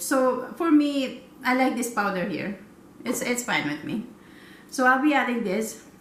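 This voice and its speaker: Over noticeable background noise and audible room echo, a woman talks at a moderate pace with a fairly high pitch and lively intonation. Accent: Filipino. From Philippines. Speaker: cooking vlogger. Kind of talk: cooking tutorial. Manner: halting, many fillers.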